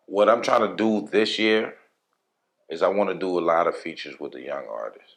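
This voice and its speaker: A man talks with an American accent at a fairly quick pace. His loudness swings a lot. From New York, the Bronx (Hunts Point). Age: 30s. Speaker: rapper and producer. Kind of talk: casual interview.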